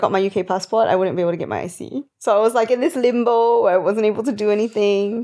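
Hardly pausing, a woman with a fairly high pitch and a dark, mellow tone speaks at a very fast pace with ordinary pitch variation. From Sabah, Malaysia (early childhood in UK). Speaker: radio announcer. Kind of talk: casual chat.

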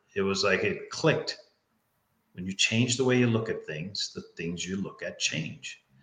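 At a moderate pace, a man talks with a Newfoundland accent. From Newfoundland, Canada. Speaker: life coach. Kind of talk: interview. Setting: live stream.

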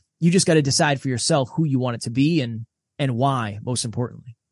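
Somewhat breathy and fairly high-pitched, a man speaks at a fairly quick pace with lively intonation, in a dry, close sound with no echo against a quiet background. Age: 30s. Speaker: podcast host and self-improvement coach. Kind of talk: interview conversation. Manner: animated.

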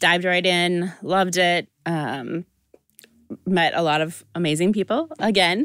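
The speaker has a Midwestern American accent and fairly even intonation at a fairly slow pace. The sound is dry and close, with no echo. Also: woman, fairly low pitch for a woman. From Iowa (Dubuque). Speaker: breast cancer survivor, nonprofit founder. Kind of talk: interview.

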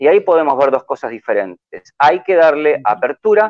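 At a fairly quick pace, a man talks in a Rioplatense accent. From Argentina. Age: 60s. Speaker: football fan commentator. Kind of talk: casual chat.

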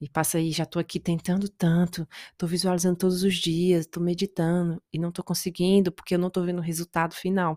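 Recorded very clean with a silent background and a dry, close sound with no echo, a woman speaks very fast in a fairly low pitch with monotone, flat intonation. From Brazil. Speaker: podcast host, self-development coach. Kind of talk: solo motivational talk.

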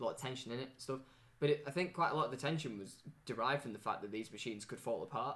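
This man's delivery is very fast. His voice sits at a medium pitch and rises and falls in an ordinary way. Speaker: podcast co-host. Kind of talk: casual chat.

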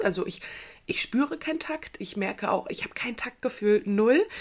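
At a fairly slow pace, a woman with a fairly high pitch speaks with very wide pitch swings. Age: 20s. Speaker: podcast host and coach. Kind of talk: personal monologue podcast. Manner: animated.

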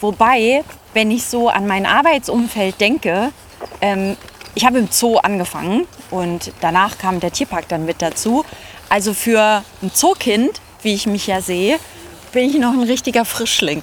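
With lively intonation and a fairly high pitch, a woman speaks at a fairly slow pace with long, frequent pauses. Noticeable background noise is present. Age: 30s. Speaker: zoo press and communications staff. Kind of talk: casual chat. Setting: outdoors, walking through a zoo.

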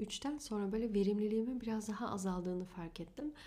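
A woman at medium pitch, with ordinary pitch variation and a fairly quick pace. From Germany, Turkish family from Afyon. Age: 20s. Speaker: podcast host and astrologer. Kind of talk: solo podcast monologue.

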